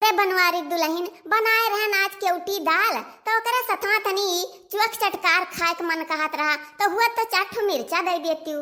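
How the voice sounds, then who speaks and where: Using a squeaky, cartoonish character voice at an extremely high pitch, a woman speaks at a moderate pace. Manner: grumbling, curses under her breath.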